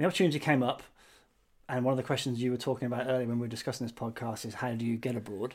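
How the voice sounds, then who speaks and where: A man speaks with a British accent at a medium pitch. The recording is very clean, with a silent background. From Britain. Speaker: podcast co-host, marketing professional. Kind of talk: casual chat. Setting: recording from home.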